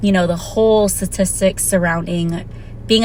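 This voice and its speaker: A woman with a fairly low pitch talks at a moderate pace and fairly even intonation amid noticeable background noise. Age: 30s. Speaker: vlogger. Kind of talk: casual vlog monologue. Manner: casual, conversational.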